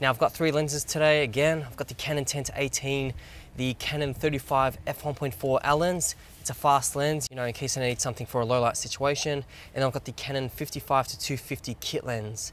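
A man talks at a fairly quick pace with fairly even intonation. Light background noise can be heard. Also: dry sound with no echo. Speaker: camera vlogger. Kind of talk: casual vlog chat. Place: waterside. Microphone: phone near.

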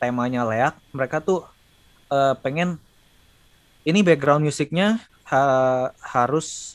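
Here a man talks at a very slow pace. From Indonesia. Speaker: sound designer and lecturer; lecturer. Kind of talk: casual chat. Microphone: video call.

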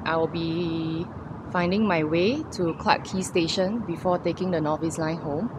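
Against noticeable background noise, a woman with a fairly low pitch talks at a moderate pace in a dry sound with no echo. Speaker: cycling vlogger. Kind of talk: casual vlog chat. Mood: relaxed, cheerful after ride. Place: street. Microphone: phone near.

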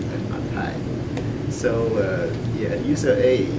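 Loud background noise runs behind a man speaking. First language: Chinese. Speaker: club speaker. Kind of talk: impromptu speech to a club audience. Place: meeting room. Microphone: camera far.

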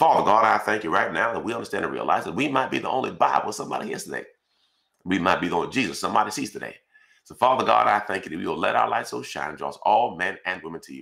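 Very fast speech over a quiet background. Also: man. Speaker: pastor. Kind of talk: fervent, rhythmic spoken prayer stacking scripture verses. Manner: repetitive incantatory cadence, each line opening 'Father God, I thank you'. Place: home room.

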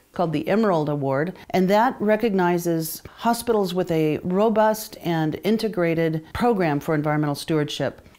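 A woman speaks at a moderate pace with hardly any pauses and fairly low pitch. Her pitch varies in an ordinary way, and her loudness stays very even. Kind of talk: interview answer. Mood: calm, proud.

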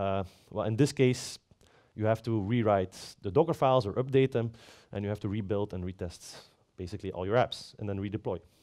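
A man speaks fairly quickly with a fairly low pitch and a dark, mellow tone. His pitch varies in an ordinary way over a quiet background. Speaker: platform architect, conference speaker; conference speaker. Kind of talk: conference talk. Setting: stage with audience. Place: stage.

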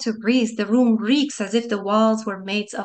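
The voice is an unforced reading voice. Its intonation stays fairly even.

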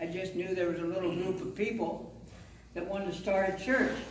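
A man talks at a moderate pace with audible room echo and light background noise. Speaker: pastor. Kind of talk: sermon. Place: church.

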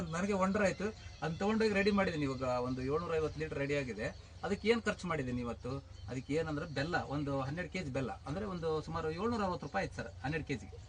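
This man's pitch is fairly high and swings very widely. Vocal fry runs through his voice. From northern Karnataka. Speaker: farmer. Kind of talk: farm interview.

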